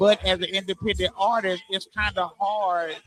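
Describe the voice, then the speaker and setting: Music plays in the background as a man speaks at a moderate pace in a high voice. The sound is dry and close, with no echo. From Arkansas. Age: 40s. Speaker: rapper. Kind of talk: interview. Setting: live stream event. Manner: halting, many repetitions.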